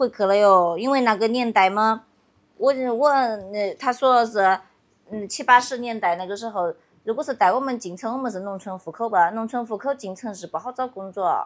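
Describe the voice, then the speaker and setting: A woman speaks with a Yunnan accent, her loudness swinging widely. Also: fairly high pitch for a woman, ordinary pitch variation, moderate pace. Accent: Yunnan dialect-accented Mandarin. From Yunnan, China. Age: 30s. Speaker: villager. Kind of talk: casual chat. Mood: calm, reflective, slightly sad. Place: open country. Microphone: phone near.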